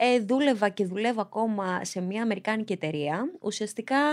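Against a quiet background, a woman speaks at a fairly slow pace with a fairly high pitch. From Greece, Piraeus (born in Albania); Greece. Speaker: reality show contestant; podcast guest. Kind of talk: casual interview. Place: studio. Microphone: studio mic.

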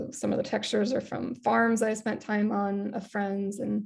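The background is quiet as a woman speaks at a moderate pace. She has an American accent. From US Midwest. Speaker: visual artist. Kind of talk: panel presentation. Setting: video call.

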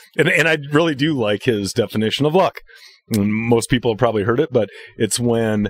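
Heard as a normal speaking voice, the speech moves at a moderate pace with lively intonation in a dry, close sound with no echo. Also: man. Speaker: tournament angler. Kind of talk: casual chat.

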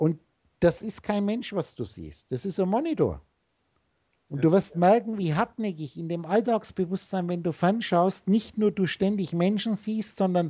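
A somewhat breathy woman at a fairly slow pace, with ordinary pitch variation, over a quiet background. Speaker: spiritual teacher on a call. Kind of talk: instructive monologue to a call partner. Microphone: video call.

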